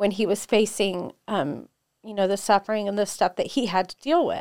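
On a very clean recording with a silent background and a dry, close sound with no echo, a woman with an ordinary speaking voice talks at a fairly high pitch. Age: 40s. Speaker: jiu-jitsu academy co-owner and fitness coach. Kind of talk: casual interview chat.

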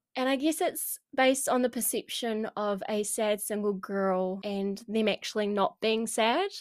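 With a New Zealand accent, the speaker goes at a fairly slow pace with hardly any pauses and ordinary pitch variation. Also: woman, fairly high pitch for a woman, very clean recording, silent background. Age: 20s. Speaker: podcast host. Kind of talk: casual monologue.

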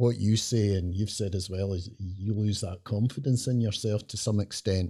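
A man's fairly low, somewhat breathy voice with a dark, mellow tone and fairly even intonation. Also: very clean recording, silent background. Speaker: former police officer, podcast co-host.

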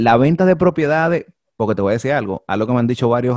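A very fast-talking man with a Dominican accent, in a dry, close sound with no echo. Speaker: podcast host. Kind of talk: casual chat.

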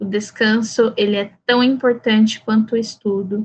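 A woman with a fairly high pitch and fairly even intonation sounds somewhat breathy. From Brazil, Campo Grande, Mato Grosso do Sul. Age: 30s. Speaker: writer. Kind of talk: interview.

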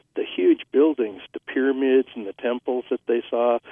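This man has an American accent, a medium pitch and a moderate pace. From US Midwest, northern Indiana. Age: 60s. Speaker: historian, author. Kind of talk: interview.

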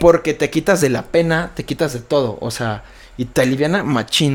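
A man speaks with a Mexican accent. His voice is fairly high, with ordinary pitch variation. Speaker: rapper. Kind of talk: casual chat.

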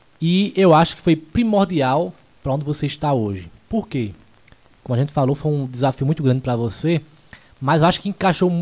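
A man speaks at a moderate pace with lively intonation and a somewhat breathy quality. His pitch sits fairly high for a man. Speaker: podcast host and radio announcer. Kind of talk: casual interview chat, live stream.

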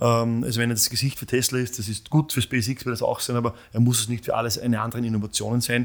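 A man talks at a very fast pace with monotone, flat intonation. The recording is very clean, with a silent background. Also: medium pitch for a man, hardly any pauses. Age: 40s. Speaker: company founder and CEO. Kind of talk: interview. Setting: studio. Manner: halting, many fillers.

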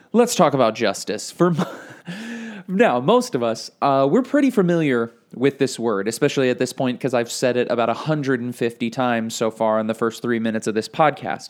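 In a normal speaking voice, the speaker talks at a fairly quick pace with lively intonation and hardly any pauses. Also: man, medium pitch for a man. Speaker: podcast host, Bible teacher. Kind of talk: casual podcast teaching. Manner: casual, with fillers.

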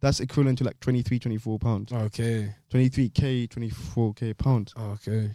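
A man with a London accent speaks very slowly in a dark, mellow tone, with hardly any pauses, fairly even intonation and a dry, close sound with no echo. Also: medium pitch for a man. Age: 20s. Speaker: podcast co-host. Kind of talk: casual chat.

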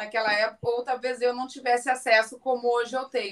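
A woman's high-pitched, raised, projected voice in a southern Brazilian accent. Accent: gaúcho accent, noticeable. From Rio Grande do Sul, southern Brazil. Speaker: businesswoman and surfer. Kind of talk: casual chat.

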